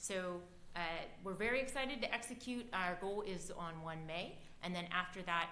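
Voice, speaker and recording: Noticeable background noise and audible room echo accompany a voice with an American accent, moving at a moderate pace with ordinary pitch variation. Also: woman, medium pitch for a woman. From Ohio. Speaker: civics club leader presenting to council. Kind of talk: public presentation at council meeting. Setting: city council chamber.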